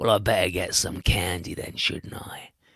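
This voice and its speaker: A raspy, put-on character voice delivers the lines at a moderate pace. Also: man, very deep, low pitch for a man. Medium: read story. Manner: gruff, curt.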